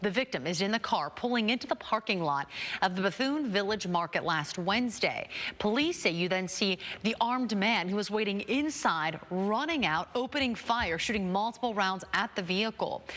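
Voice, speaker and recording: This is a normal speaking voice at a moderate pace, with lively intonation and very even loudness. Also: woman, medium pitch for a woman. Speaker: TV news anchor. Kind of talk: TV news read.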